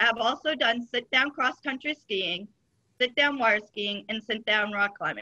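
A woman in a plain, everyday voice speaks at a moderate pace against a quiet background, her pitch fairly high with ordinary variation. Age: 30s. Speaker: Special Olympics athlete. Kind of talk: reading prepared statement. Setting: video call. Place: home room. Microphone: video call.

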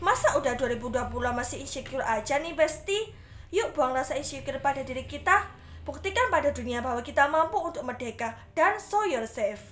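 In an upbeat tone, a woman speaks at a high pitch and a fairly quick pace with lively intonation. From Indonesia. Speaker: student radio announcer contestant. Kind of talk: radio announcer patter, scripted-style show segment. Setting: radio studio broadcast simulation. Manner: bright, chatty, upbeat, friendly; rhetorical questions to listeners, Indonesian-English code-mixing. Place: home room. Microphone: phone near.

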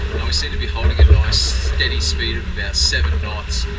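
Behind the speech, background noise is loud. The man delivers his words at a fairly quick pace. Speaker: sailing vlogger. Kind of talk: casual vlog chat. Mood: relaxed, content.

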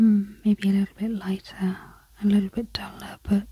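Soft-spoken and calm, a woman talks at a fairly slow pace in a dark, mellow, somewhat breathy voice of medium pitch with monotone, flat intonation. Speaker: craft and art YouTuber. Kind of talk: soft-spoken relaxed talk to camera. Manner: soft-spoken, calm, relaxing.

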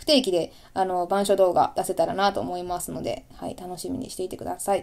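This woman talks at a very fast pace in a dark, mellow tone. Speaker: video creator, channel host. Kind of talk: casual chat, audio-only radio episode. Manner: casual, chatty, apologetic.

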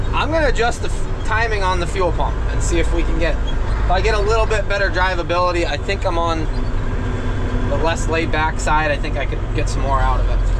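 A man talks at a fairly quick speed while loud noise fills the background. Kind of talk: casual vlog chat. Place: car. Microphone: camera far.

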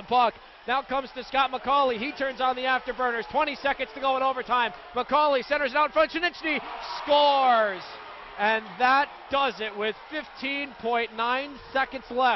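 Against noticeable background noise, a man speaks at an extremely high pitch. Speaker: radio play-by-play announcer. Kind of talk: live sports commentary, hockey play-by-play. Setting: arena broadcast at the game. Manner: fast, excited, rapid-fire calls that rise on goals.

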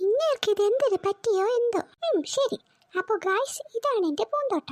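In a cartoonish character voice, a woman talks at a fairly slow pace with an extremely high, squeaky pitch, lively intonation and very even loudness. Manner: sharp, scolding.

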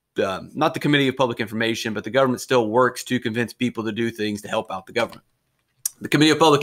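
A man talks at a very fast pace in a bright, sharp tone with ordinary pitch variation, the background quiet. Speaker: history teacher. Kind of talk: lecture. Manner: conversational. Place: home room. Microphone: webcam.

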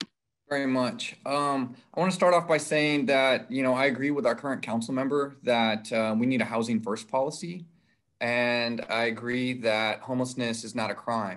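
Against a quiet background, a man with a plain, everyday voice speaks at a medium pitch and a moderate pace with ordinary pitch variation. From San Antonio, Texas; Texas. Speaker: city council candidate; council candidate. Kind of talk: candidate forum debate. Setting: video call. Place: home room. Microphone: video call.

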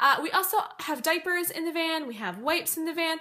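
A woman's raised, projected voice at a fairly quick pace. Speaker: mom vlogger. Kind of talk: casual vlog chat. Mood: friendly, chatty. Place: home room. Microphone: phone near.

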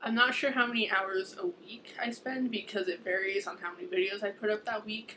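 A woman is speaking. Noticeable background noise sits behind her. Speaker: book vlogger. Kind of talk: casual vlog chat. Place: home room. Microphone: webcam.

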